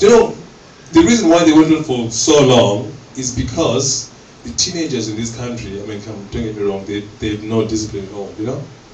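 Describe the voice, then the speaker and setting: A man talks at a fairly quick pace. Noticeable background noise and audible room echo surround him. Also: medium pitch for a man, ordinary pitch variation, big swings in loudness. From Zimbabwe. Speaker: comedian. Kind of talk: stand-up. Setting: stage with audience. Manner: animated.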